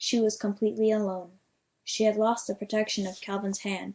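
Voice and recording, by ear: The clip is reading aloud in a natural voice, set against a quiet background.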